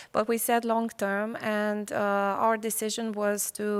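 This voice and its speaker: Very slowly and in a flat monotone, a woman with a Romanian accent speaks at a fairly high pitch, in a very clean recording with a silent background. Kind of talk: panel discussion.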